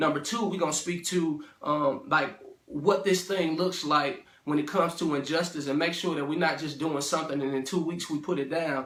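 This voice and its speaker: With an American accent, a man speaks at a moderate pace in a fairly high pitch with fairly even intonation, amid noticeable background noise and audible room echo. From St. Louis area, Missouri (Ferguson). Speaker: motivational speaker / minister. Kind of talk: inspirational talk to camera. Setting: self-recorded video. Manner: casual, filler-heavy (um, uh).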